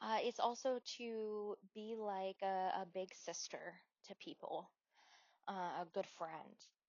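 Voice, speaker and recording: A woman speaks with fairly even intonation in an American accent. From US Northeast, Wilkes-Barre, Pennsylvania. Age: 30s. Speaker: podcast host. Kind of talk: personal storytelling podcast. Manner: casual with fillers and restarts.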